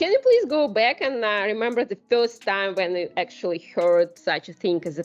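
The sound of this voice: A woman talks at a moderate pace with a medium pitch. Her intonation is lively.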